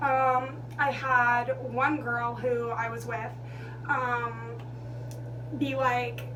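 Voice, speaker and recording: Noticeable background noise plus audible echo from the room. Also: woman. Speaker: vlogger. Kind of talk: storytime monologue. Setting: bathroom. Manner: loud.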